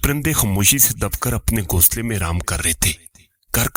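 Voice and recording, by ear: Over a quiet background, the words are read aloud in a natural voice with lively intonation.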